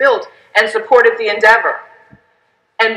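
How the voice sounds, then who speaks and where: A woman talks at a moderate pace. The background is quiet, though the room echo is audible. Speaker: speaker. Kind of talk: keynote speech. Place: hall. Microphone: headset.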